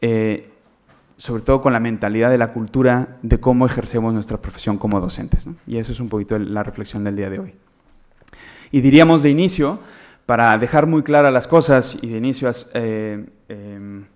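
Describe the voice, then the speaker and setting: Big swings in loudness mark a man speaking with a Mexican accent at a moderate pace, his pitch medium with ordinary variation. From Mexico. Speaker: education consultant, conference speaker. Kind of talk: lecture. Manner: halting, many fillers.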